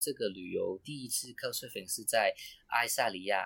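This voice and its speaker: A man with a Cantonese accent on a very clean recording with a silent background. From Hong Kong. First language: Cantonese (speaking Chinese). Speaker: travel blogger. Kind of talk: casual chat. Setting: residential hallway in Hong Kong. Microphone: roomy, echoey recording.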